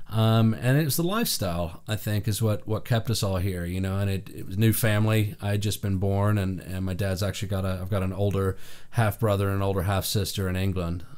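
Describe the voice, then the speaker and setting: With an American accent, a man talks at a fairly quick pace in a fairly low voice, with fairly even intonation and hardly any pauses. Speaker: session drummer. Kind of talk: interview. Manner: casual, with fillers.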